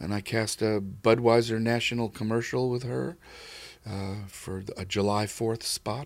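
The speaker, with an American accent, goes at a fairly slow pace with fairly even intonation in a very clean recording with a silent background. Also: man, medium pitch for a man. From New York City, the Bronx. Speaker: casting director. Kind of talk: interview. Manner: calm, laid-back.

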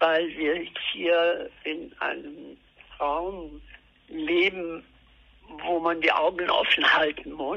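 A woman talks at a very slow pace. Her pauses are long and frequent. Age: 80s+. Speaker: artist. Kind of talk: interview. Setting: phone call. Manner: halting. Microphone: telephone line, lower sound quality.

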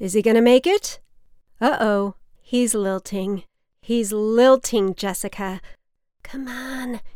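Her tone warm and gentle, a woman speaks at a very slow pace and a fairly high pitch with ordinary pitch variation and long, frequent pauses. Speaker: podcast writer and performer. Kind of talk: scripted comedic monologue performing a phone dialogue with her mother.

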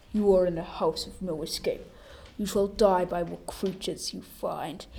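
Putting on a character voice at a medium pitch, a woman makes big swings in loudness over light background noise. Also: moderate pace. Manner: eerie, ominous.

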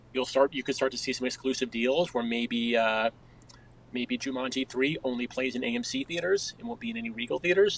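This man has a plain, everyday voice with an American accent, medium pitch and ordinary pitch variation, speaking at a fairly quick pace. The sound is dry and close, with no echo. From suburban New York and Connecticut. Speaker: journalist and author. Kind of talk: interview.

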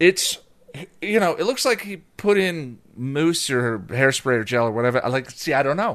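Pitched fairly high, this man's voice moves through very wide pitch swings. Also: moderate pace. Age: 40s. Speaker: podcast co-host and YouTube reviewer. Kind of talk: casual chat.

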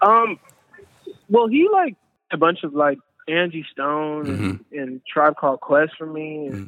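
A man with an American accent speaks at a moderate pace in a fairly high pitch and a bright, sharp tone, his loudness swinging widely, with long, frequent pauses and a dry, close sound free of echo. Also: lively intonation. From Oakland, California. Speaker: musician. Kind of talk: casual interview.

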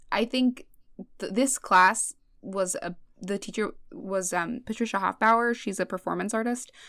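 At a fairly slow pace, a woman talks in an American accent with ordinary pitch variation. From US West Coast (Los Angeles, San Fernando Valley). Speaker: comedian. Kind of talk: casual chat. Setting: video call.

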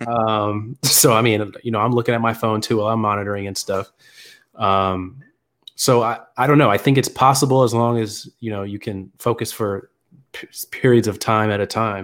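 A man's plain, everyday voice at a medium pitch, with fairly even intonation and a moderate pace, in a very clean recording with a silent background. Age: 20s. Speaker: clinical research associate. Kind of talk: live-streamed casual Q&A chat.

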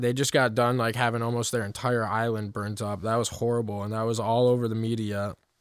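On a very clean recording with a silent background, a man with a normal speaking voice talks at a fairly quick pace. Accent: American. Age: 20s. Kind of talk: devotional talk. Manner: casual.

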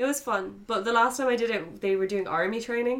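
An unremarkable speaking voice from a woman, fairly high in pitch with ordinary variation, at a fairly quick pace. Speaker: podcast host. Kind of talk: casual banter.

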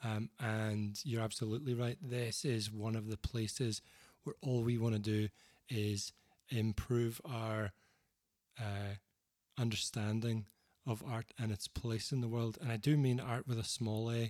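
A man with a Northern Irish accent, medium-pitched, at a fairly slow pace with fairly even intonation, in a dry, close recording with no echo. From Northern Ireland, Banbridge. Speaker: singer-songwriter and author. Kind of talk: casual interview conversation.

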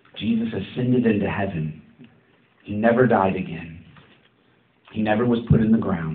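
In a room with audible echo, a man with a fairly low pitch talks at a moderate pace, with ordinary pitch variation and long, frequent pauses. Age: 30s. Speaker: pastor. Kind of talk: sermon.

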